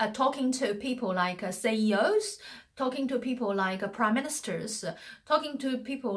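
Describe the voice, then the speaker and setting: Spoken with a non-native accent, the delivery has lively intonation at a moderate pace. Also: woman. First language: not English. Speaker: communication coach. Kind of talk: motivational talk. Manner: hesitant, many fillers.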